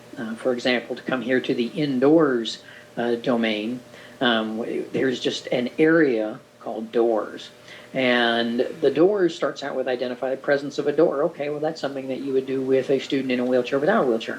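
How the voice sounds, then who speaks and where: A man speaks in an ordinary speaking voice at medium pitch, with ordinary pitch variation and a moderate pace. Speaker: orientation and mobility instructor. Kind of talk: recorded presentation overview.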